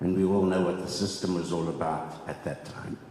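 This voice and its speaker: Noticeable background noise fills the clip. Through it comes a man's voice, carrying audible room echo. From South Africa, Cape Town. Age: 70s. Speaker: land claimant. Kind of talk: testimony.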